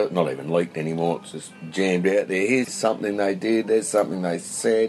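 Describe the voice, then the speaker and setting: Noticeable background noise runs under this recording. A man with a very deep, low voice speaks in an Australian accent. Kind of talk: casual chat. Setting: outdoors.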